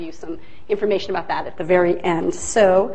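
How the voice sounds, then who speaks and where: Noticeable background noise and audible room echo accompany this woman as she talks. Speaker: lecturer on restorative justice. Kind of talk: lecture. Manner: fast.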